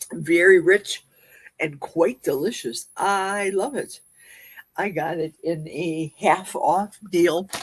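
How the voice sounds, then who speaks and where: Speaking at a very slow pace with a Midwestern accent, a woman uses a fairly low pitch with ordinary pitch variation. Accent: Midwest. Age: 60s. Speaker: livestream host. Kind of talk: casual livestream chat. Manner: chatty.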